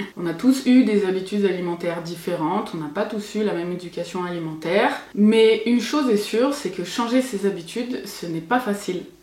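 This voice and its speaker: Noticeable background noise and audible room echo are heard behind a woman. She speaks at a fairly quick pace with hardly any pauses. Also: medium pitch for a woman, ordinary pitch variation. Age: 30s. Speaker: cooking youtuber. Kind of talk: vlog monologue.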